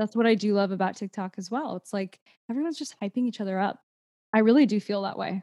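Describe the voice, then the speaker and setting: Very fast speech comes from a woman with an American accent, a medium pitch and ordinary pitch variation. The recording is very clean, with a silent background and a dry, close sound with no echo. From Houston, Texas. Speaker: actor and TikTok creator. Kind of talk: casual interview chat.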